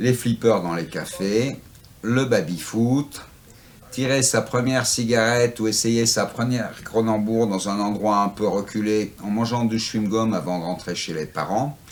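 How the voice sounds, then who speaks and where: A plain, everyday voice from a man, fairly low in pitch and fairly slow in pace. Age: 60s. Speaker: antiquarian bookseller. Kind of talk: interview. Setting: in his bookshop.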